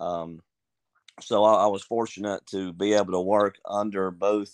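With a Southern US accent, a man speaks at a fairly low pitch against a quiet background. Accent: Southern US (Georgia). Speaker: high school wrestling coach. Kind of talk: casual interview.

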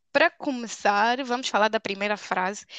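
A woman speaks in a bright, sharp tone with ordinary pitch variation. The sound is dry and close with no echo, and the background is quiet. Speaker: podcast co-host. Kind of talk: casual chat. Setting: remote recording.

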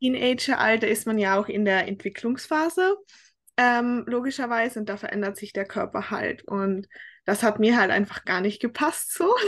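A woman's fairly high voice at a moderate pace, with ordinary pitch variation and a quiet background. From Austria, Tyrol. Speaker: fitness coaching client. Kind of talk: casual interview. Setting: remote call across time zones.

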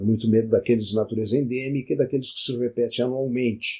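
A man speaks at a medium pitch in a somewhat breathy voice. His intonation stays flat and monotone. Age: 70s. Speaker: physician and science podcaster. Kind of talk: solo educational monologue.

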